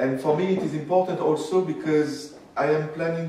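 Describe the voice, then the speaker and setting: There is audible room echo and noticeable background noise around this man. He has a French accent and a fairly high pitch, speaking at a moderate pace. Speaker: historian. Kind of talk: lecture. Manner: halting.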